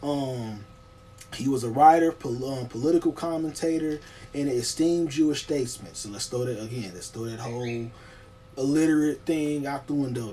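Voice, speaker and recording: A man speaks at a fairly quick clip with a fairly high pitch and lively intonation, over noticeable background noise. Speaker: online video creator. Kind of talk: casual video monologue on history. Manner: fast; halting, many fillers.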